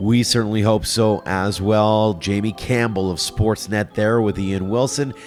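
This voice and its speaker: Music plays in the background as a man speaks with a Canadian accent at a fairly low pitch. His pace is fairly slow and his intonation fairly even. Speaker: podcast host. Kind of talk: scripted outro.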